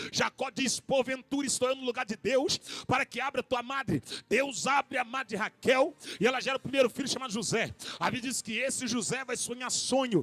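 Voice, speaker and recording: An animated tone at a fairly quick pace. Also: man, extremely high pitch for a man. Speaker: pastor. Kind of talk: sermon.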